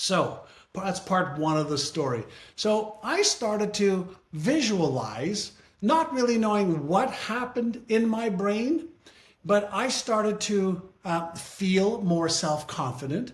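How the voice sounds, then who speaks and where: Speaking at a very slow pace, a man uses lively intonation. His pitch is high. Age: 60s. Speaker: author and brain-training business leader. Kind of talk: interview.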